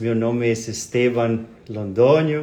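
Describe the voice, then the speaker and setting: With a Spanish accent, a man talks at a very slow pace and medium pitch, and the room echo is audible. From Colombia. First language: Spanish (speaking Portuguese). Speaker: spiritist speaker. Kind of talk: lecture. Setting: live stream. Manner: halting.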